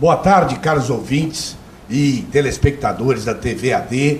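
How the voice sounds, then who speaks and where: A man's medium-pitched voice comes through audible room echo, with noticeable background noise present. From Minas Gerais, Brazil (Belo Horizonte). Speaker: retired doctor and lawyer, health commission head. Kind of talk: TV interview.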